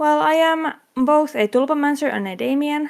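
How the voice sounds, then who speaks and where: This woman talks at a fairly slow pace with a strong non-native accent. Her pitch swings very widely. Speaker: convention panel host. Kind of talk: convention panel presentation. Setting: online convention panel streamed as a VTuber. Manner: halting, with fillers.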